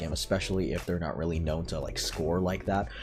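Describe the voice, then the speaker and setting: A man with a very deep, low pitch talks at a very fast pace, his pitch varying in an ordinary way. Audible room echo and noticeable background noise surround him. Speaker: sports YouTuber. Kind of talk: casual sports recap vlog. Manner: quiet, late at night; hesitant, many fillers.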